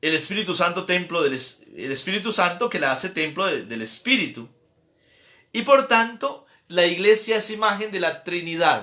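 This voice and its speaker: Lively in intonation, a man with a high pitch speaks in a raised, projected voice. The recording is very clean, with a silent background. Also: moderate pace. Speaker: priest. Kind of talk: catechesis lecture.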